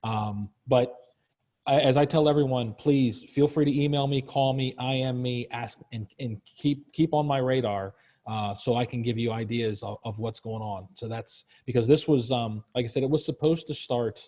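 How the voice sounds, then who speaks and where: At medium pitch, a man with an American accent speaks at a moderate pace, his dark, mellow tone somewhat breathy and his intonation fairly even. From Virginia. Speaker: leadership program manager. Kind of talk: webinar Q&A. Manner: casual, halting with many fillers.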